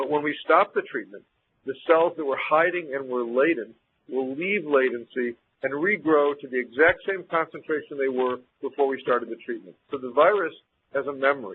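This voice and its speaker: Fairly high in pitch, a man speaks with an American accent and ordinary pitch variation. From US Midwest. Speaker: infectious disease physician. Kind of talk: lecture. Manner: fast.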